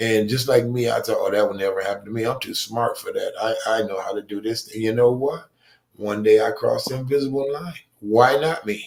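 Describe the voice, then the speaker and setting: A man talks in a plain, everyday voice at medium pitch and a fairly quick pace, with ordinary pitch variation. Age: 60s. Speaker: recovering addict. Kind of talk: testimony.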